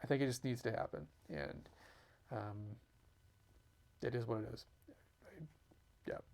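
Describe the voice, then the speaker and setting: The speaker is a man with a medium pitch. His pitch variation is ordinary. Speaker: video diary host sharing family medical updates. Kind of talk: personal video update. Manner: rambling, halting.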